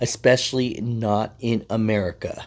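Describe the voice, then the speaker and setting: A man is speaking. His intonation is flat and monotone. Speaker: trucking channel host. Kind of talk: casual vlog commentary. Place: car. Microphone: phone near.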